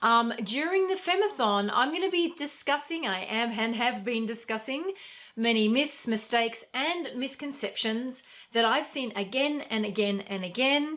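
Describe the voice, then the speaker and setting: Her high-pitched voice carries lively intonation as the woman speaks at a moderate pace. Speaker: feminine energy coach. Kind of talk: live stream talk. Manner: slightly slurred.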